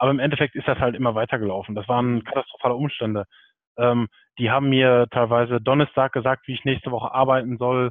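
At a very fast pace, a man speaks at medium pitch in a monotone, flat intonation. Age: 30s. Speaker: PR manager. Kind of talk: interview.

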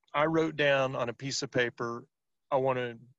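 Here a man talks in a plain, everyday voice with ordinary pitch variation. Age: 50s. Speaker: sales professional and author. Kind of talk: interview.

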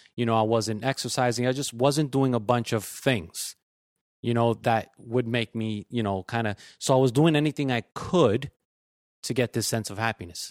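The recording is very clean with a silent background. A man speaks in a normal speaking voice at medium pitch and a moderate pace, with ordinary pitch variation. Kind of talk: casual chat. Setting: studio with live audience.

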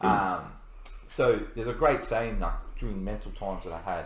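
A man with an Australian accent, with audible room echo. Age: 30s. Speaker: navy serviceman. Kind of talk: casual chat.

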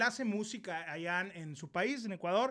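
A man with a northern Mexican accent projects a raised voice at a moderate pace, his tone animated, bright and sharp, with ordinary pitch variation on a very clean recording with a silent background. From Mexico, Ciudad Obregón, Sonora. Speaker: YouTuber, live stream host. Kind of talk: casual live-stream interview. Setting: live stream.

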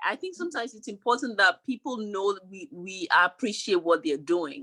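A woman talks with a fairly high pitch and a bright, sharp tone. Her pitch swings very widely. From Ghana. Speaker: podcast host. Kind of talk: casual interview.

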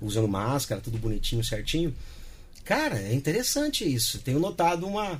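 A man talks at a fairly quick pace with very wide pitch swings and a somewhat breathy voice. There is audible room echo. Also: fairly high pitch for a man. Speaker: radio announcer. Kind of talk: interview. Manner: clear, announcer-style diction.

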